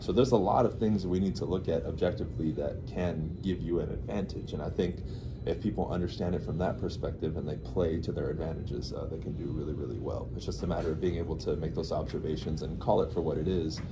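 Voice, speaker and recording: With audible room echo, a man with a very deep, low pitch talks at a very fast pace with lively intonation and hardly any pauses. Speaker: real estate agent. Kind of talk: casual interview chat. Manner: loud.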